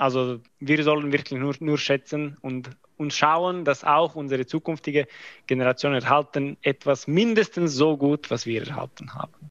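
Against a quiet background, a man talks at a moderate pace. His pitch is fairly high and his intonation fairly even. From Croatia. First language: not German (speaking German). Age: 20s. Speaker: army officer, mathematics graduate. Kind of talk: interview. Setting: video call. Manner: halting.

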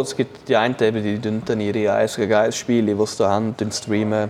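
The man has an ordinary speaking voice, pitched fairly low, and talks at a moderate pace. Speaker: esports ice hockey player, former ice hockey goalie. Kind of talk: casual chat. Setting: studio.

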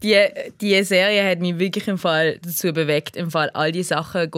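At a fairly slow pace, the voice stays monotone and flat, on a very clean recording with a silent background. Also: woman. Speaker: podcast host, film critic. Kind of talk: casual chat.

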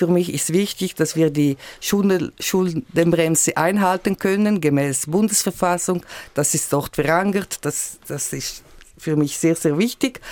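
Speaking at a very slow pace, a woman has a fairly low pitch and ordinary pitch variation. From Switzerland, Graubünden. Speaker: member of national parliament. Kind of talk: radio political discussion. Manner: halting.

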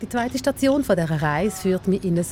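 Somewhat breathy, a woman speaks with a fairly low pitch and a dark, mellow tone. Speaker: radio host. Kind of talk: scripted narration.

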